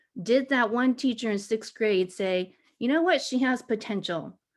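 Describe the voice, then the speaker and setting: In a normal speaking voice, a woman keeps a moderate pace and varies her pitch in an ordinary way. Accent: American. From Taiwan, raised in the US from childhood. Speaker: education faculty panelist, former teacher. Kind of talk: panel discussion.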